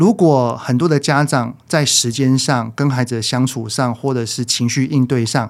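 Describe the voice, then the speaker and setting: With a normal speaking voice, a man talks at a medium pitch with ordinary pitch variation. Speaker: parenting educator. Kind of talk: casual interview chat.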